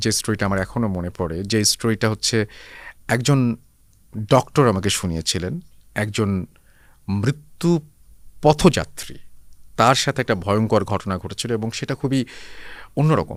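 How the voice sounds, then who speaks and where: In a very clean recording with a silent background, a man speaks with an ordinary speaking voice, a fairly low pitch and lively intonation. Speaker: radio host. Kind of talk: podcast interview answer.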